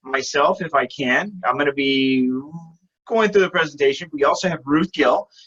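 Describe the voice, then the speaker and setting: Loud and at a fairly quick pace, a man talks with a fairly high pitch. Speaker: webinar presenter for insurance business. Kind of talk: sales presentation webinar. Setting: video call webinar.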